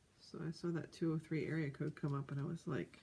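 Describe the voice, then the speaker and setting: A soft-spoken, somewhat breathy woman with a dark, mellow tone, very deep, low pitch, fairly even intonation and a moderate pace. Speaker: crafter. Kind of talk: casual chat.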